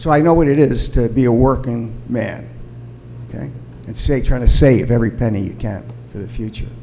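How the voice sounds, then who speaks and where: A man of medium pitch talks at a fairly quick pace with ordinary pitch variation and big swings in loudness, in an audible room echo with noticeable background noise. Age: 70s. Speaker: retired ambulance service provider, public commenter. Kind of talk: public comment at city council meeting. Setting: city council meeting. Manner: halting.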